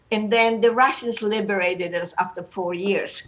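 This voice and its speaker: A woman's medium-pitched voice, with ordinary variation in pitch, comes at a moderate pace amid noticeable background noise. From Romania. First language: German. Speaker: Holocaust survivor and psychologist. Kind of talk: personal testimony. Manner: animated.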